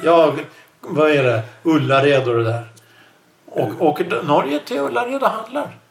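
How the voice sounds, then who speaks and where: A man talks at a fairly slow pace with a fairly high pitch and lively intonation, leaving long, frequent pauses. Noticeable background noise runs underneath. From Sweden. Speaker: podcast host. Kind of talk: casual chat.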